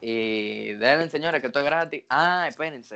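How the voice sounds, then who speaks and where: In a Dominican accent, a man speaks with ordinary pitch variation. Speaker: podcast host. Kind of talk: casual podcast chat.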